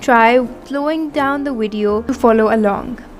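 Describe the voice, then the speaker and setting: Speaking with a non-native accent, a woman uses a high pitch and ordinary pitch variation while noticeable background noise runs underneath. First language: not English. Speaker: embroidery artist. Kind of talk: tutorial. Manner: instructional, measured.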